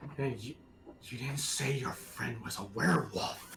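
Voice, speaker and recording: Over clear background noise, a man does a put-on character voice at a medium pitch and moderate pace. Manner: hissing, annoyed.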